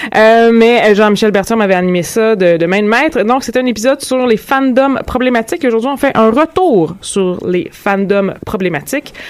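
A woman speaks in a plain, everyday voice, fairly high in pitch. Her intonation is lively and her pace is moderate. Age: 30s. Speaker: podcast host. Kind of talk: casual discussion.

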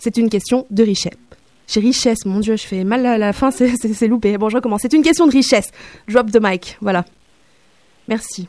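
With a dark, mellow tone and fairly high pitch, a woman talks at a moderate pace with ordinary pitch variation and long, frequent pauses. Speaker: radio columnist. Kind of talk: opinion column.

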